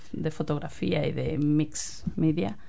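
Speaking in an Andalusian accent, a woman has a dark, mellow tone and lively intonation. Audible room echo is present. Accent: Andalusian Spanish (Cádiz). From Spain, Cádiz (Andalusia). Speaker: community group chair, photographer. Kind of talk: radio interview.

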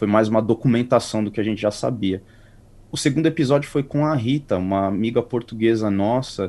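A man with a plain, everyday voice talks at a fairly quick pace, his pitch fairly low with ordinary variation. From Brazil, São Paulo area (Carapicuíba). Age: 30s. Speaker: podcast co-host, interview guest. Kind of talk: interview, casual chat.

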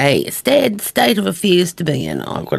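Someone with a New Zealand accent talks at a fairly slow pace in a relaxed tone. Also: woman. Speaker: radio host. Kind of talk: radio DJ patter introducing country songs. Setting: studio. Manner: relaxed, chatty, conversational.

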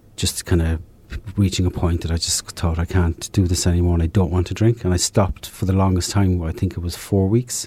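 A man with an Irish accent talks at a fairly quick pace in a very deep, low pitch. His tone is dark and mellow, somewhat breathy, with fairly even intonation. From southern Ireland. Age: 50s. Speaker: recovering alcoholic. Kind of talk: testimony. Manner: halting.

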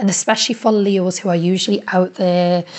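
A woman speaks at a fairly slow pace in a fairly low pitch. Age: 30s. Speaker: community radio presenter. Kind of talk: personal audio diary. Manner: animated.

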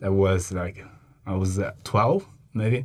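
A man with a Chinese accent speaks at a very slow pace. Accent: Mandarin Chinese accent in English. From China. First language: Mandarin. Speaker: agricultural science worker. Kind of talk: interview. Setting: studio. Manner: halting.

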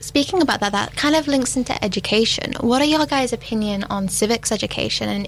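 Against noticeable background noise, a woman with a fairly high voice talks very fast with hardly any pauses. Her intonation is lively. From United Kingdom. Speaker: youth council member. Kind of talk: panel discussion.

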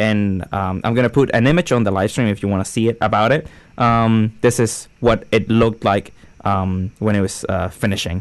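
In a Spanish accent, a man speaks at a moderate pace with a fairly low pitch and ordinary pitch variation. The background is quiet. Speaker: radio host. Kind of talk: casual chat.

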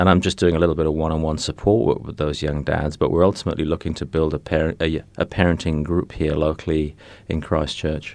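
Over a quiet background, a man with a very deep, low pitch talks at a very fast pace in a monotone, flat intonation with hardly any pauses. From England. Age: 50s. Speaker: community support worker for fathers. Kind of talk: radio interview. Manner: hesitant, with repeated words and fillers.

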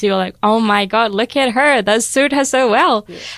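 A woman with a normal speaking voice and ordinary pitch variation at a moderate pace, in a very clean recording with a silent background. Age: 20s. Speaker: student and youth coordinator. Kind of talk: radio interview. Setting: radio studio.

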